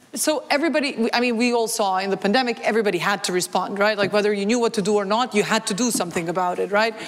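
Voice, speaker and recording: A woman speaks in an animated tone with a fairly high pitch. Noticeable background noise runs under her voice. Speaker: development organization expert. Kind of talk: panel talk. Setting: stage with audience. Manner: loud.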